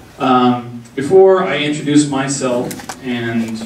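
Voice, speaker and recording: A medium-pitched man with an American accent, with audible room echo and noticeable background noise. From Texas. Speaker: diversity consultant. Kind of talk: community forum talk.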